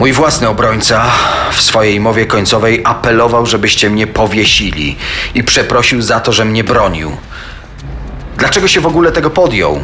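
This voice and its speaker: Against noticeable background noise, a man talks at a moderate pace at medium pitch, his intonation lively and his loudness very even. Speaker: co-narrator voicing characters. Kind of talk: true-crime narration with dramatized quoted speech.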